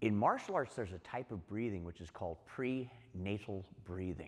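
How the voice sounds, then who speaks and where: A man is talking. His pitch is fairly low with ordinary pitch variation. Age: 60s. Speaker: martial arts instructor. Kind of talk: tutorial.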